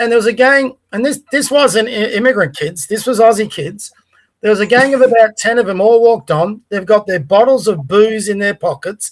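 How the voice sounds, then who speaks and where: An Australian accent marks this man's high-pitched voice. He talks at a moderate pace with ordinary pitch variation. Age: 60s. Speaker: podcast co-host. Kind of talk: casual political discussion.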